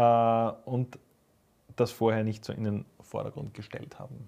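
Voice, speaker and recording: The man has a normal speaking voice at a medium pitch and a fairly slow pace. The recording is very clean, with a silent background. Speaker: metal podcast co-host, musician. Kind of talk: casual chat.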